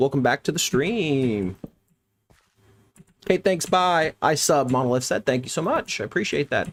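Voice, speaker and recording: With an American accent, the speaker uses lively intonation and long, frequent pauses, captured in a dry, close sound with no echo. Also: man, fairly high pitch for a man, moderate pace. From US Midwest. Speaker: gaming streamer. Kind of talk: live stream chat. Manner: casual, upbeat.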